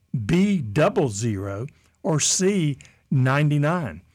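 A man talks with very wide swings in pitch. Music can be heard behind him. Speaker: radio host. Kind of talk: radio host patter. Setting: radio studio.

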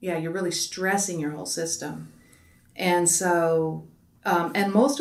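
A woman's fairly low pitch and ordinary pitch variation in a normal speaking voice. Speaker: physician. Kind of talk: interview.

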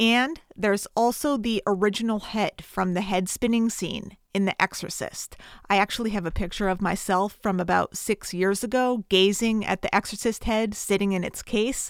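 A woman with an American accent uses an ordinary speaking voice at medium pitch and a moderate pace, with fairly even intonation and hardly any pauses. The recording is very clean with a silent background, and the sound is dry and close with no echo. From Connecticut, US. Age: 30s. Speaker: podcast host, film reviewer. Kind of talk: solo podcast, film review and plot retelling.

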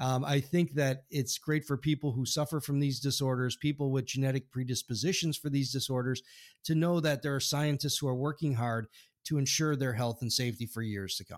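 In a normal speaking voice, a man talks fairly quickly at a fairly high pitch with fairly even intonation. The recording is very clean with a silent background, and dry and close with no echo. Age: 50s. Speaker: podcast host and scientist. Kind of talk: interview.

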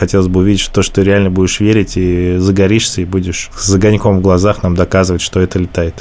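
Speaking at a very fast pace with hardly any pauses, a man uses a very deep, low pitch and a monotone, flat intonation. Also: very even loudness. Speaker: investor. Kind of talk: panel critique.

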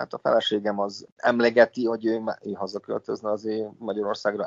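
Talking at a fairly quick pace, a man uses an ordinary speaking voice with a fairly low pitch. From Vojvodina, Serbia (Senta). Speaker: molecular biologist. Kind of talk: interview.

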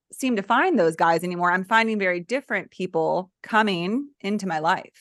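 Over a quiet background, a woman with an unremarkable speaking voice talks at a moderate pace and a medium pitch. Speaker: podcast host and mental health therapist. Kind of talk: interview.

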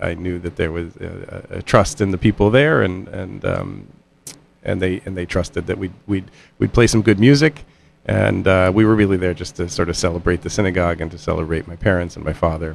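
A man with an American accent speaks fairly quickly in a very deep, low voice with vocal fry. His intonation is lively. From Indiana, US Midwest. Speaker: musician and composer. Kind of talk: radio interview. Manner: hesitant, many fillers.

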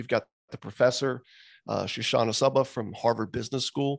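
Putting on a raspy character voice, a man speaks at a medium pitch and moderate pace in a monotone, flat intonation. The background is quiet. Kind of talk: introducing an expert guest. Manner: very fast.

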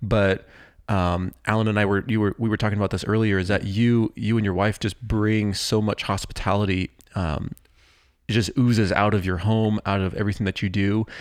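Against a silent background on a very clean recording, a man with an American accent talks fairly quickly in a fairly low, monotone voice at a very even loudness. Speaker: church podcast host. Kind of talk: casual chat. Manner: halting.

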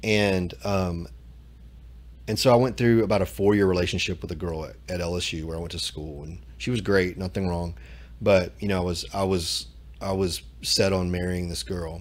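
With audible room echo, a man speaks at a moderate pace in a very deep, low voice. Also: ordinary pitch variation. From Louisiana. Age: 40s. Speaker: church member. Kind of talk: personal testimony. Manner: halting, repeats words.

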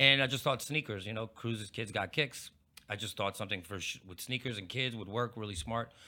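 In a very clean recording with a silent background, a man with an American accent speaks at a fairly quick pace, with a bright, sharp tone, medium pitch and ordinary pitch variation. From Pittsburgh, Pennsylvania. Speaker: radio and TV host.

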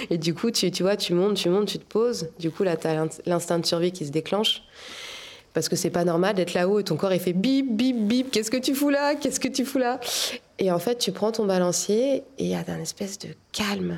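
Lively intonation from a woman at medium pitch, in a plain, everyday voice. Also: moderate pace. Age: 30s. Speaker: tightrope walker. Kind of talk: interview.

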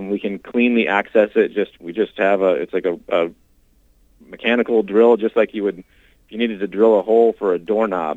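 A man with an American accent and a plain, everyday voice talks at a fairly low pitch and a fairly quick pace with fairly even intonation. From Washington State. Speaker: glaciologist and climate scientist. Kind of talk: interview.

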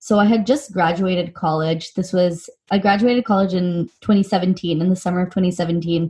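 The delivery is moderate in pace, with hardly any pauses and fairly even intonation. The voice has a dark, mellow, somewhat breathy tone with an American accent. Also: woman, medium pitch for a woman. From US West Coast (Silicon Valley, California). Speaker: nonprofit founder and CEO. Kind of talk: interview.

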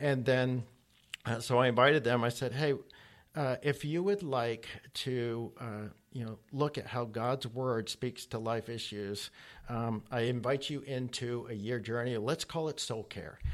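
A man speaks fairly slowly at medium pitch with fairly even intonation. It is a normal speaking voice. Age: 50s. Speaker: church discipleship leader. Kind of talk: interview.

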